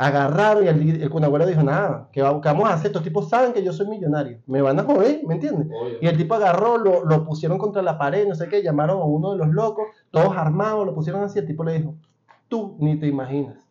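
Animated and very fast, a man speaks in a high pitch with ordinary pitch variation, and audible room echo surrounds him. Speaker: podcast host. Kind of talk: casual chat.

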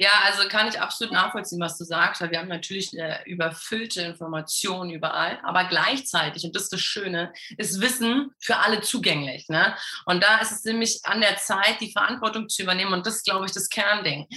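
A woman speaks at a fairly quick pace with a medium pitch and ordinary pitch variation. Her loudness swings widely, and background noise is noticeable. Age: 30s. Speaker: health and performance coach. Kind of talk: casual interview.

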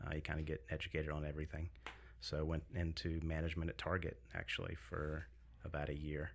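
A soft-spoken man with an American accent talks at a very fast pace, his very deep, low pitch carrying vocal fry, with very even loudness and fairly even intonation. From US South, Greenville South Carolina. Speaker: business owner, gym-food store owner. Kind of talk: casual podcast interview. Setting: studio.

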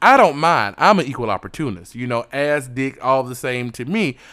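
Over a very clean recording with a silent background, a man speaks at a moderate pace and medium pitch. His tone is animated, with ordinary pitch variation. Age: 30s. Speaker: podcast host. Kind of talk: casual monologue.

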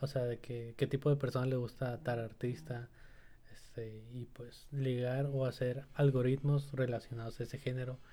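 A man's dark, mellow, somewhat breathy voice at a moderate pace, with monotone, flat intonation. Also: medium pitch for a man. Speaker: podcast co-host. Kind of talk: casual chat.

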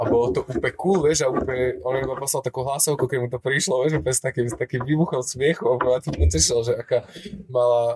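Talking at a very fast pace, a man with a medium pitch sounds dry and close with no echo, though noticeable background noise is present. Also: ordinary pitch variation. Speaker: podcast host. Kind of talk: casual chat. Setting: café in Prague.

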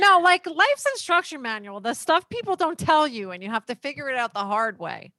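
A woman talks in a raised, projected voice at a high pitch, her pitch swinging very widely and her loudness in big swings. She keeps a fairly quick pace with hardly any pauses. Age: 40s. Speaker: podcast host and divorce lawyer. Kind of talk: casual interview.

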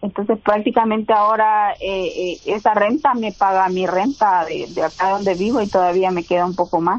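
At a moderate pace, a woman talks in an ordinary speaking voice. Her pitch is medium and her intonation fairly even. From El Salvador. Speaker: real estate investor. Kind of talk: interview.

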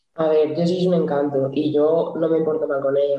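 A woman's very deep, low-pitched voice with a dark, mellow tone at a moderate pace. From Cantabria, Spain. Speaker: futsal goalkeeper. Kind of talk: casual interview.

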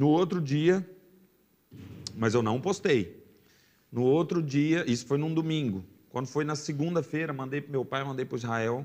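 Using ordinary pitch variation, a man with a fairly high pitch talks at a moderate pace, leaving long, frequent pauses. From Brazil, Goiás (raised in Jaraguá). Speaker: sertanejo singer. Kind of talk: casual chat.

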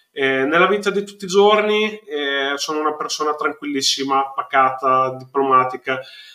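Here a man talks with a fairly high pitch and a bright, sharp tone. His pitch variation is ordinary. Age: 50s. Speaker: amateur wrestler and cosplayer. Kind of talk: interview. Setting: live stream.

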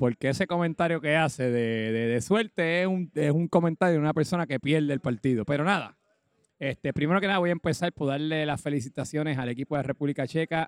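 This man has an unremarkable speaking voice, fairly high in pitch, with ordinary pitch variation and a fairly quick pace, and the sound is dry and close with no echo. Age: 40s. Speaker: podcast co-host and amateur footballer. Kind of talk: casual sports chat.

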